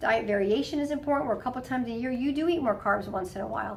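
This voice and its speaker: A woman speaks very fast at a fairly high pitch. Audible room echo and noticeable background noise surround her. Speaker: health coach at a wellness clinic. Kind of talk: instructional talk to patients. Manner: casual, conversational.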